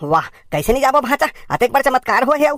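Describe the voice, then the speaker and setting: This is a high, cartoonish character voice. It moves at a fairly quick pace. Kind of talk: cartoon comedy.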